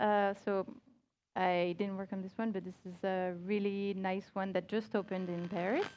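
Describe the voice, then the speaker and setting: Against a quiet background, a woman with a French accent speaks at medium pitch and a moderate pace in a monotone, flat way. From France. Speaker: multimedia creative director. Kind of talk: conference talk. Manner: halting.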